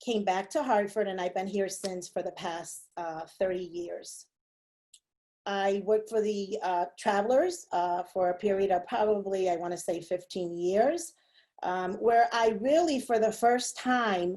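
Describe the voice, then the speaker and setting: At a fairly slow pace, a woman with a medium pitch and a dark, mellow tone speaks with ordinary pitch variation. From Puerto Rico and upstate New York. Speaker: city council member. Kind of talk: personal talk to a group. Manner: hesitant, many fillers.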